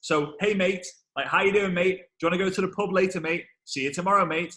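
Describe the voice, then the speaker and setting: A man speaks at a very fast pace. His high-pitched voice has a bright, sharp tone. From northern England, Liverpool. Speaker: network marketing trainer. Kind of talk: webinar interview. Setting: video call. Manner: animated.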